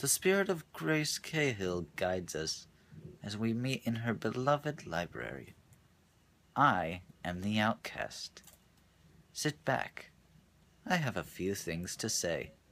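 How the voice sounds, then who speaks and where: Using a put-on character voice, a man booms at a fairly low pitch with very wide pitch swings, going at a fairly slow pace broken by long, frequent pauses. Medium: read story. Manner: confident, booming.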